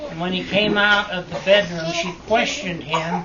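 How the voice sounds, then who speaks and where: There is noticeable background noise. Over it, a man talks in a high pitch with fairly even intonation. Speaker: grandfather. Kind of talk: family storytelling. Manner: hesitant, halting.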